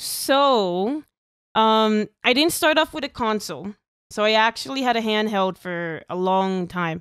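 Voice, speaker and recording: A woman with an American accent and a fairly high pitch, at a fairly slow pace, dry with no echo over a quiet background. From Texas border town. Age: 20s. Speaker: streamer and former music teacher. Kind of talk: casual interview. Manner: halting. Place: home room. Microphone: headset.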